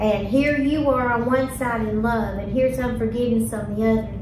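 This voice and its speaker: Audible room echo and noticeable background noise around a woman's moderately paced speech. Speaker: discussion host. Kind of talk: faith discussion, telling a story. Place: meeting room.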